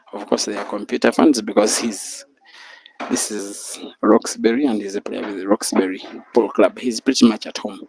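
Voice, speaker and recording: A man speaks at a moderate pace in a fairly low pitch, with fairly even intonation. The sound is dry and close with no echo, and it is a plain, everyday voice. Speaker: pool match commentator. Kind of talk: live commentary. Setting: bar venue, live stream.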